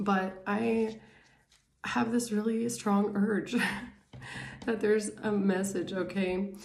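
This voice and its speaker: A woman's medium-pitched voice at a very slow pace, with long, frequent pauses, very even loudness, ordinary pitch variation and audible room echo. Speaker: tarot reader. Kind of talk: casual tarot reading monologue. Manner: hesitant, many fillers.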